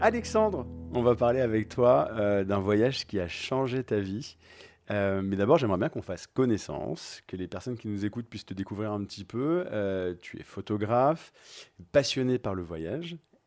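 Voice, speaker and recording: With a very clean recording and a silent background, a man speaks in a plain, everyday voice at a moderate pace, his pitch fairly low and his intonation lively. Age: 30s. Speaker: podcast host and flight attendant. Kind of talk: casual interview chat. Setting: at guest's home on the sofa.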